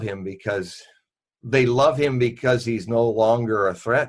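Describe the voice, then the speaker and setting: Against a quiet background, a man speaks in an unremarkable speaking voice at a medium pitch, with a moderate pace and fairly even intonation. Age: 60s. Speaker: Nostradamus expert and forecaster. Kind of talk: interview.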